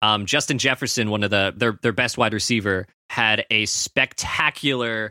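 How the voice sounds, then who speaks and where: Recorded very cleanly with a silent background and a dry, close sound with no echo, a man speaks at a fairly low pitch in a bright, sharp tone with ordinary pitch variation. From Canada. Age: 20s. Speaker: student sports reporter. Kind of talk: casual chat.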